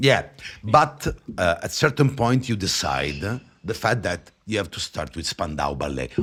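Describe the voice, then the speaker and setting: Speaking at a fairly slow pace with an Italian accent, a man uses a fairly low pitch with very wide swings and vocal fry. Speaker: podcast host. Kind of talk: interview. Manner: halting.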